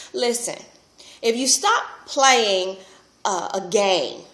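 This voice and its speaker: Against noticeable background noise, a woman speaks with a fairly high pitch and lively intonation. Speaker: relationship speaker and vlogger. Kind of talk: casual vlog monologue.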